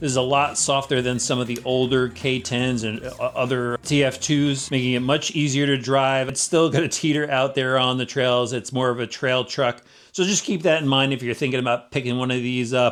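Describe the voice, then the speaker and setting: A man speaks at a moderate pace with a medium pitch. His intonation is fairly even, with hardly any pauses. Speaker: RC vehicle reviewer. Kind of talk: product review. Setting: outdoors. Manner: loud.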